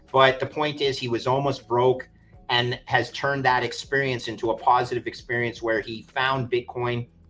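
Over music in the background, a man with a Canadian accent speaks at a moderate pace in a monotone, flat intonation. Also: medium pitch for a man. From Quebec, Montreal. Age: 50s. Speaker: finance veteran. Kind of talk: interview.

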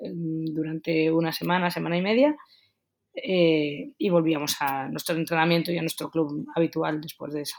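A woman speaks at a fairly slow pace with a fairly low pitch and ordinary pitch variation. Hers is an unremarkable speaking voice. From Basque Country, Getxo. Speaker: retired field hockey player. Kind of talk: interview.

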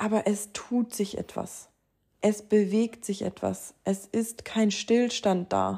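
A woman at a very slow pace, medium-pitched, with a dark, mellow tone and monotone, flat intonation. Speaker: spiritual podcast host. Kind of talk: casual monologue.

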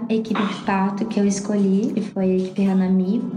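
With noticeable background noise and audible room echo, a woman talks at medium pitch in a flat monotone. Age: 30s. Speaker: mother and trainee doula, trained teacher. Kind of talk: interview, personal birth story.

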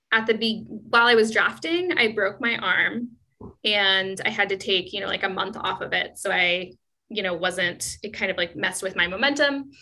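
A woman with a West Coast accent talks at a moderate pace in a medium pitch with ordinary pitch variation. Her tone is bright and sharp. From US Pacific Northwest, Seattle. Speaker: author. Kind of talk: casual interview.

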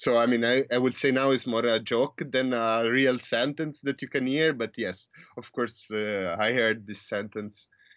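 Delivered in an Italian accent, the speech moves at a moderate pace with fairly even intonation and hardly any pauses. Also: man, medium pitch for a man. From Italy. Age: 20s. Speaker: PhD student. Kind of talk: interview. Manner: halting, many fillers.

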